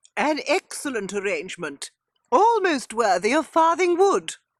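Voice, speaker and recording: A put-on character voice, female-sounding and high-pitched, with very wide pitch swings at a moderate pace. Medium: audio drama. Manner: dry, sardonic.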